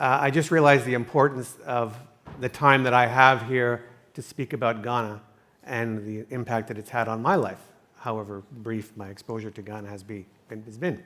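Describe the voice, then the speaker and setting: With a slight Canadian accent and a bright, sharp tone, a man speaks at a moderate pace and medium pitch, showing ordinary pitch variation and big swings in loudness. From Canada. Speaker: entrepreneur, summit sponsor. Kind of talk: panel discussion. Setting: stage at a conference.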